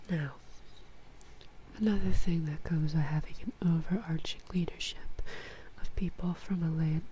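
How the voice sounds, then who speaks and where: A woman talks at a moderate pace, with noticeable background noise in the recording. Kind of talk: ASMR-style talk to camera about game factions. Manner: soft, whispering.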